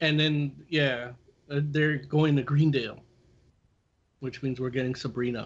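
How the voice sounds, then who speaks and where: Speaking at a fairly slow pace with long, frequent pauses, a man keeps a monotone, flat intonation and a fairly high pitch. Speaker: comic book podcast co-host. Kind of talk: casual chat. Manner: loud.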